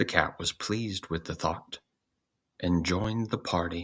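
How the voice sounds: A man speaks slowly at a low pitch with a fairly bright tone. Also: ordinary pitch variation.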